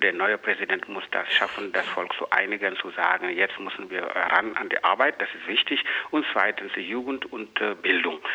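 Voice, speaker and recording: With noticeable background noise behind him, a man speaks at a fairly low pitch and a moderate pace, using ordinary pitch variation and hardly any pauses. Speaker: political commentator. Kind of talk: interview. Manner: halting.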